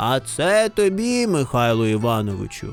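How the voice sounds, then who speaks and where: Put-on character voice at a low-to-middle pitch, moderate pace, faint music in the background. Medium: read story. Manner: small-voiced.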